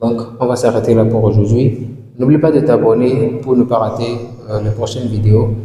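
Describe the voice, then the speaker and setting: A man at medium pitch with monotone, flat intonation, plus noticeable background noise and audible room echo. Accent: African. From sub-Saharan Africa (francophone). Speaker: English language teacher. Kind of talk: tutorial. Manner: repetitive, slow drilling of words; hesitant fillers.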